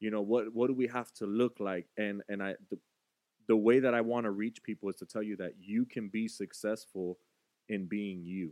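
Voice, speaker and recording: An ordinary speaking voice: a man with an American accent, fairly low in pitch, with fairly even intonation at a moderate pace, in a dry, close sound with no echo. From Florida. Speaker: podcast co-host. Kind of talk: casual chat.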